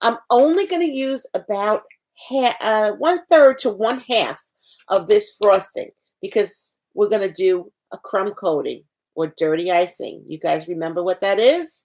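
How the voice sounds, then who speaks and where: Her fairly high pitch swings very widely as the woman speaks at a fairly slow pace. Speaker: cooking instructor. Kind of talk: tutorial.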